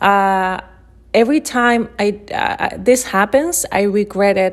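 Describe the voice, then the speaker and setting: A woman with a Chilean accent speaks at a medium pitch. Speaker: illustrator. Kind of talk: presentation talk. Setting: at home in her flat.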